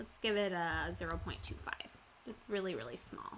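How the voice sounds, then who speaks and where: This woman's voice has a bright, sharp tone along with vocal fry. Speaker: craft tutorial host. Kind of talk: live-stream tutorial. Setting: live stream at computer. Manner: casual, hesitant with many fillers.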